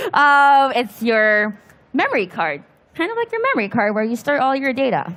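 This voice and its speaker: A high-pitched woman's voice at a moderate pace with lively intonation. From Philippines. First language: Filipino. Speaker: PC building workshop host. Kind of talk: live hands-on tutorial.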